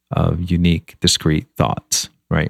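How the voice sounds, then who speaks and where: With an American accent, a man speaks at a very deep, low pitch. The sound is dry and close with no echo, in a very clean recording with a silent background. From US South, Montgomery, Alabama. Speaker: meditation teacher and author. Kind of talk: interview conversation.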